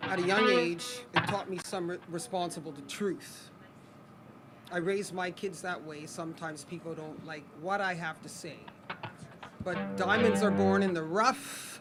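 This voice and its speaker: The pace of the speech is moderate. Noticeable background noise can be heard throughout. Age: 50s. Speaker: former track athlete and performer. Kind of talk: stage introduction. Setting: outdoor festival stage with audience.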